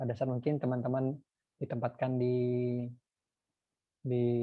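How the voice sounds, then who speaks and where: A man's voice at medium pitch. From North Sumatra, Indonesia. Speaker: lecturer. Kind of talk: lecture.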